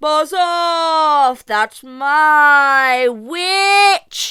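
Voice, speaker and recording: A put-on character voice sounds shrill and high in pitch. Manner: dismissive, rude.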